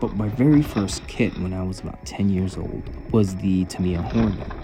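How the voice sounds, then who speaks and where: Lively intonation moves along at a moderate pace, with audible room echo and noticeable background noise. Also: man, very deep, low pitch for a man. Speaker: RC hobby YouTuber. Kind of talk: product opinion vlog. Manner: careful enunciation.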